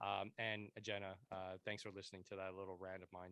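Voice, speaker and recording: Recorded dry and close with no echo, a man with fairly low pitch and a bright, sharp tone speaks at a moderate pace. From Quebec, Montreal anglophone. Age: 30s. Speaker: podcast host, veteran. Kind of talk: casual interview chat. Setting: home basement, remote podcast.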